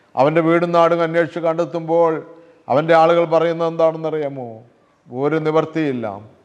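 A man with a fairly high pitch talks in a monotone, flat intonation at very even loudness. Audible room echo surrounds his voice. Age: 60s. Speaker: lay preacher. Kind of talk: sermon.

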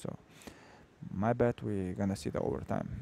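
Speaking at a moderate pace with a non-native accent, a man has a fairly low pitch and a dark, mellow tone, heard dry and close with no echo. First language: not English. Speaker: grappling commentator. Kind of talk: live commentary. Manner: halting, many fillers.

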